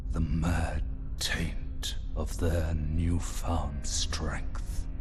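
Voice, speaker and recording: Through loud background noise, a man puts on a cartoonish character voice, very deep and low in pitch and very slow in pace. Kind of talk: epic fantasy prologue narration. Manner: slow, grave, archaic.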